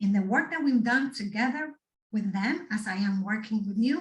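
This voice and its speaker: A woman with a Spanish accent at a moderate pace, her pitch varying in an ordinary way. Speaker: guest speaker on resilience, doctoral student. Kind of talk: talk to students. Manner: animated.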